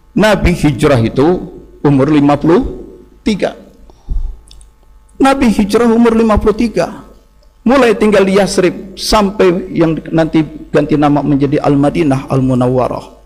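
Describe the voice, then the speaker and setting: A high-pitched man's voice with very wide pitch swings and long, frequent pauses, over music in the background. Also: moderate pace, very even loudness. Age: 60s. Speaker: Islamic preacher. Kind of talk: sermon.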